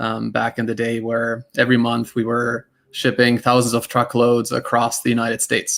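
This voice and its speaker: A man in a German accent, medium-pitched and monotone with flat intonation, at a moderate pace with hardly any pauses. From Germany. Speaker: tech startup cofounder and CTO. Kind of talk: panel discussion.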